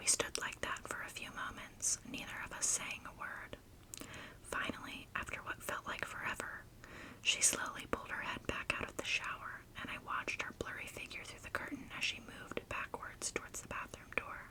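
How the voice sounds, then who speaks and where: A whisper at a moderate pace comes through noticeable background noise. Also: woman. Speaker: ASMR creator. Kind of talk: first-person horror story narration.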